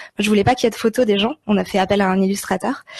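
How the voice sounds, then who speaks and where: At a very fast pace, a somewhat breathy voice speaks with fairly even intonation in a dry, close sound with no echo. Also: woman. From Switzerland. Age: 20s. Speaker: podcast producer. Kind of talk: interview.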